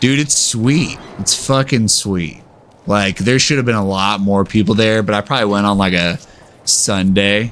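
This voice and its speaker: Keeping his loudness very even, a man with an American accent speaks at a moderate pace and fairly low pitch with ordinary pitch variation. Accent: slight US Southern, some say San Diego. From Texas. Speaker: video game streamer. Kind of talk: casual chat while gaming. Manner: casual, rambling with fillers.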